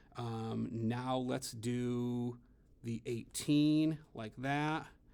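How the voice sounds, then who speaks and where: Pitch varies an ordinary amount as a man talks. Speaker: elementary school teacher. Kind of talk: tutorial. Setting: classroom at school, after hours.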